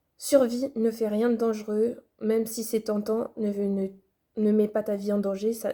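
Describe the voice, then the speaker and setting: Her tone dark and mellow, a woman speaks at a moderate pace with monotone, flat intonation. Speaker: video blogger. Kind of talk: advice vlog.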